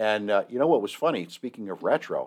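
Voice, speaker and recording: In a quiet setting, a man with a normal speaking voice talks at a fairly low pitch and a moderate pace. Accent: American. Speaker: podcast host. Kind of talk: casual chat.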